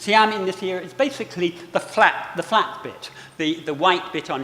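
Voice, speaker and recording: A man with a high pitch talks at a moderate pace, noticeable noise in the background. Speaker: historian and book author. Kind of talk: lecture. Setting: auditorium with live audience.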